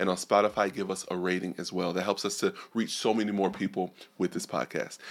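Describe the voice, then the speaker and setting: Fairly quick, fairly low-pitched speech from a man with an American accent, with music in the background. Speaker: podcast host. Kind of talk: casual podcast interview. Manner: animated, enthusiastic.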